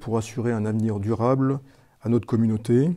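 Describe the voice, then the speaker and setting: A man talks at a moderate pace with a medium pitch and a dark, mellow tone. His intonation stays fairly even. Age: 60s. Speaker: mayor. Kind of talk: interview self-introduction.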